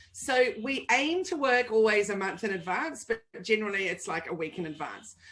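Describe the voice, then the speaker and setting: A woman with an animated tone and fairly high pitch, very wide pitch swings, a moderate pace and hardly any pauses. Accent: New Zealand. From New Zealand. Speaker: digital marketing agency owner. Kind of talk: interview.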